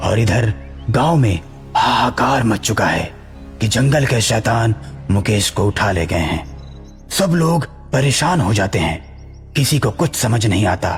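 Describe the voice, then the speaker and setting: A man puts on a cartoonish character voice at a medium pitch and a moderate pace. Clear music plays in the background. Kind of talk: horror story narration.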